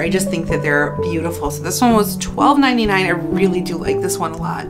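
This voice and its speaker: A woman talks at a very fast pace over loud music in the background. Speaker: home decor vlogger. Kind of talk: casual haul vlog chat. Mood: cheerful, enthusiastic. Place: home room.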